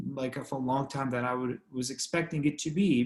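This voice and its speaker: Breathing comes through somewhat in this man's voice. He talks at a moderate pace. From Iraq, Baghdad. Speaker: neurology resident doctor. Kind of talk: interview.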